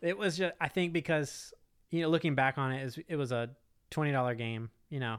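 An American accent marks this man's ordinary speaking voice, medium in pitch with ordinary pitch variation. He talks at a fairly quick pace on a very clean recording with a silent background. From Texas (Houston), high school in Augusta, Georgia. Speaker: board game company founder. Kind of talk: casual interview chat.

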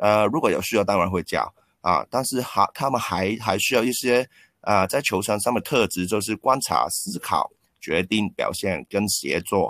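Speaking at a moderate pace with a Cantonese accent, a man uses a fairly low pitch with ordinary variation, recorded very cleanly with a silent background and a dry, close sound with no echo. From Hong Kong. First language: Cantonese (speaking Chinese). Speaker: basketball coach and former special-education PE teacher. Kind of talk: interview. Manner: halting with frequent word repetitions.

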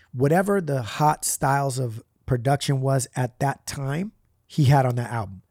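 A man's normal speaking voice at a moderate pace with ordinary pitch variation, recorded very clean with a silent background and a dry, close sound with no echo. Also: medium pitch for a man. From US West Coast, Puerto Rican family. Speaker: rapper. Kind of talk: casual chat.

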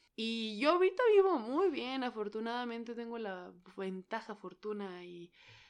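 A woman speaks at a moderate pace in a Mexican accent, her pitch fairly high and her tone animated. Her loudness swings widely from moment to moment. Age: 30s. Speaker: podcaster. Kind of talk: casual monologue.

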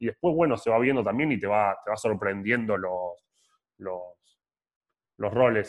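A man talks at a fairly quick pace in an unremarkable speaking voice. His pitch is fairly low. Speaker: podcast co-host. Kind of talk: casual interview chat.

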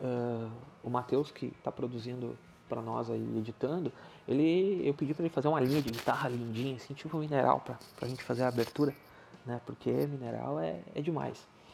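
Music in the background beneath a medium-pitched male voice, fairly quick in pace with ordinary pitch variation. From southern Brazil, Rio Grande do Sul. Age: 30s. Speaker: podcast host. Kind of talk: casual solo monologue.

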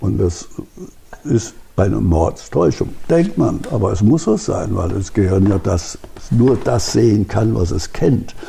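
With a fairly low pitch, a man speaks at a very slow pace. His intonation is lively, and there is noticeable background noise. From Hesse, Germany (Marburg). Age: 80s+. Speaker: retired optics professor and museum founder. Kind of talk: interview and guided museum tour. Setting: in a barn museum.

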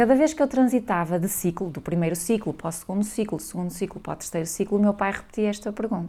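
A woman with a northern Portuguese accent talks at a very fast pace. Her medium-pitched voice has a dark, mellow tone and ordinary pitch variation. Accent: northern Portuguese (Minho). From northern Portugal, Valença do Minho. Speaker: scientist and social entrepreneur. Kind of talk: interview.

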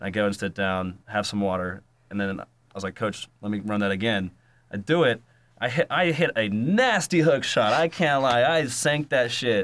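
On a very clean recording with a silent background, a man with an American accent and an unremarkable speaking voice talks at a moderate pace with lively intonation. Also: medium pitch for a man. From North Carolina, Raleigh. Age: 20s. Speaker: musician and YouTuber. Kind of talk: casual chat.

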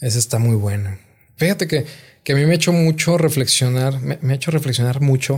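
Somewhat breathy, the man's voice holds a medium pitch. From northern Mexico, Gómez Palacio, Durango. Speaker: comedian. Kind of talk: casual chat. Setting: studio.

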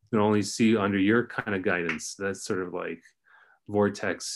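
Over a very clean recording with a silent background, a man with a Californian accent talks at a moderate pace, his fairly low voice held to fairly even intonation. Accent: Californian American. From Los Angeles area. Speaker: former student, writer. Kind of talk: casual interview chat.

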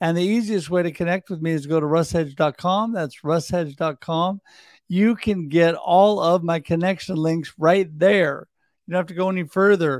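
Speaking at a moderate pace in an animated, upbeat tone, a man with an American accent has a high-pitched voice on a very clean recording with a silent background. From US Pacific Northwest. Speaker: podcast host. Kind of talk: casual panel discussion. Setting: live video show.

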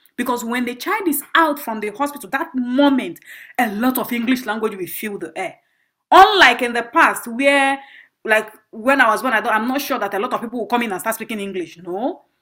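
Speaking with a Nigerian accent, the voice moves at a fairly quick pace with lively intonation and a bright, sharp tone. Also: woman, high pitch for a woman. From northern Nigeria, Bauchi State. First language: Igbo. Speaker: performance artist and graduate student. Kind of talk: interview.

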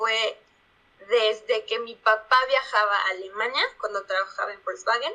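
Her tone is bright and sharp. The woman speaks at a fairly slow pace. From Mexico, Puebla. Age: 20s. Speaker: product manager. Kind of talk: casual interview.

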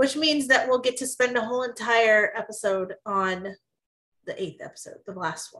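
At a moderate pace, a woman with a high pitch and a bright, sharp tone shows ordinary pitch variation and big swings in loudness. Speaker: podcast co-host. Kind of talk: casual chat.

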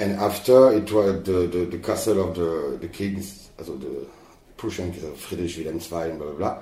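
Very slowly, a man talks at a very deep, low pitch with ordinary pitch variation and big swings in loudness. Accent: French. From France. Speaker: video artist. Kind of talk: casual interview. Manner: halting.

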